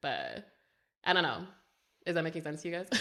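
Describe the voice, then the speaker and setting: A woman with a Southern California accent has a bright, sharp tone and a fairly low pitch. The recording is very clean, with a silent background. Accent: Valley Girl. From Canada. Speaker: tattoo artist, podcast host. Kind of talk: casual chat. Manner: fast; bubbly, chatty.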